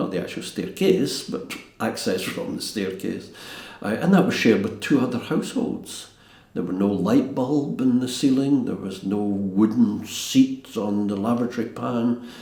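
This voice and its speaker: Noticeable background noise and audible room echo surround a man speaking with a Glaswegian accent and ordinary pitch variation. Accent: Glaswegian Scottish. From Scotland, East End of Glasgow. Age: 70s. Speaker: castle restorer. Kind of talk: interview reminiscence. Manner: halting.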